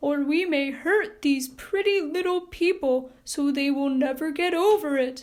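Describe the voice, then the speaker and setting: Putting on a character voice, a woman speaks in a high pitch with a gentle tone, at a moderate pace and with very even loudness. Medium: read story.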